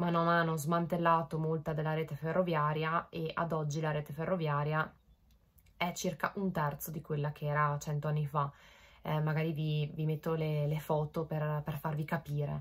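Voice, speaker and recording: A woman speaks with a very deep, low pitch at a moderate pace, somewhat breathy. Her intonation is monotone and flat over a quiet background. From Italy. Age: 20s. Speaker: vlogger. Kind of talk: casual chat to camera. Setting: bedroom, home recording. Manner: hesitant, many fillers.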